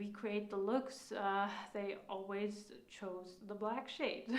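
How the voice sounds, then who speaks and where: Heard with a non-native accent, a woman speaks at a fairly high pitch. Noticeable background noise and audible room echo are present. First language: not English. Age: 30s. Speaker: makeup instructor. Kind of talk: live online class. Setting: live stream. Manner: halting, frequent fillers.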